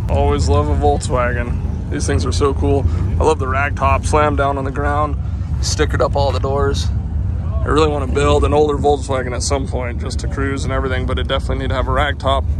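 Over noticeable background noise, a man speaks at a very fast pace in a very deep, low pitch, with a dry sound and no echo. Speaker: car vlogger. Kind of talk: casual vlog chat. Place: street. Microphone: phone near.

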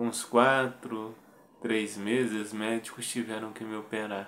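Very slowly, a man speaks. His pitch is fairly low. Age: 30s. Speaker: motivational video creator. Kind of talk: personal testimony monologue. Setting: video recorded to camera. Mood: earnest, motivational. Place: home room. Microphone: phone near.

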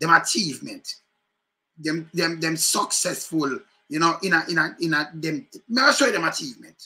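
Lively intonation and a bright, sharp tone mark this man's speech, delivered at a moderate pace with a Jamaican accent. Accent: Jamaican Patois. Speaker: political commentary vlogger. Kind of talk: casual commentary. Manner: animated. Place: home room.

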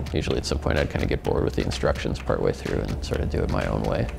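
There is a man talking. Clear music can be heard behind him. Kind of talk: interview answer. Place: studio.

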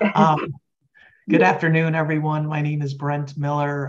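This man's voice has a somewhat breathy quality. He talks fairly quickly. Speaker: state health official. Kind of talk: committee meeting.

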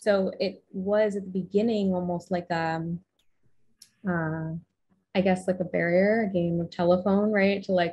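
The tone is dark and mellow, a little breathy. Intonation stays flat and monotone. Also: woman. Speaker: podcast guest. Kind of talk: interview answer. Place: home room.

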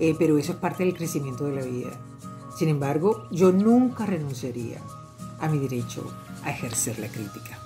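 Over clear background music, a woman with a very deep, low pitch talks at a moderate pace with lively intonation. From Venezuela. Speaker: journalist and radio host. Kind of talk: interview answer. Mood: earnest, assertive, self-reflective. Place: home room. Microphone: webcam.

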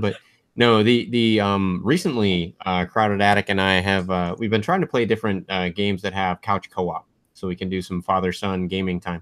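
A man talks at a moderate pace in a fairly low pitch. The background is quiet and the sound is dry with no echo. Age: 30s. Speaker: podcast host. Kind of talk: casual chat. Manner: animated. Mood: relaxed, friendly. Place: home room. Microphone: webcam.

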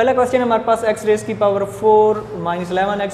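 A man speaks at a high pitch. Light background noise and audible room echo surround him. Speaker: math teacher. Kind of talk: lecture. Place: classroom. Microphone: camera far.

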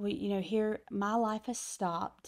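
A woman speaks against a quiet background. Her pitch varies in an ordinary way. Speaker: pastor guest. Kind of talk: interview answer, personal testimony. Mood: warm, earnest, reflective. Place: studio. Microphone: studio mic.

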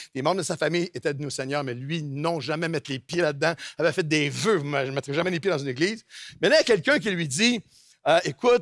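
A man talks at a fairly quick pace with lively intonation, his dry sound carrying no echo over a quiet background. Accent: Quebec. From Quebec. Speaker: pastor. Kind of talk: sermon. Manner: fast. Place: church. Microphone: headset.

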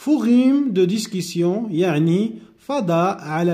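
Amid audible room echo, a man with a high pitch, lively intonation and a dark, mellow tone speaks at a very slow pace. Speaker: French teacher. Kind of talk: lecture.

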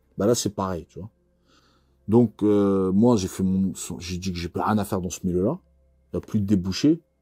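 The background is quiet as a man speaks in a very deep, low pitch. His pitch variation is ordinary, and he takes long, frequent pauses. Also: moderate pace. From France. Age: 40s. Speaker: former criminal; interviewee. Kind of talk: interview. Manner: casual, hesitant with many fillers. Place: studio. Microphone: lapel.

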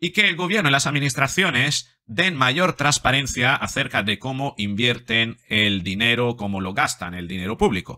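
A man talks at a moderate pace with hardly any pauses, against a quiet background. His tone is bright and sharp, with very wide pitch swings. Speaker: psychologist commentator. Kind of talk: commentary. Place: home room. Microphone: studio mic.

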